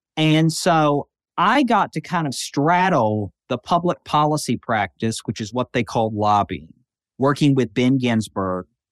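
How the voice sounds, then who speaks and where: A man in a Southern US accent at a fairly slow pace, on a very clean recording with a silent background. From western Tennessee. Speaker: federal judge. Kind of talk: interview.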